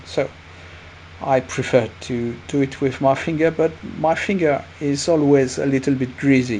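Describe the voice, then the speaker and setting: Over noticeable background noise, a man with a French accent speaks fairly slowly at a fairly high pitch with ordinary pitch variation. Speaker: watercolour painting teacher. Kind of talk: painting tutorial narration. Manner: hesitant, many fillers.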